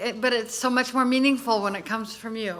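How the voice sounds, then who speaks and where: A woman's high voice carries fairly even intonation against noticeable background noise. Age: old. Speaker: former congresswoman on hearing panel. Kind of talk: hearing questioning.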